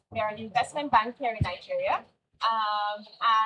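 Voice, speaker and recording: The pace is moderate. The tone is dark and mellow. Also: woman. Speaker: investment banker. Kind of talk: panel discussion. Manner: projecting loudly.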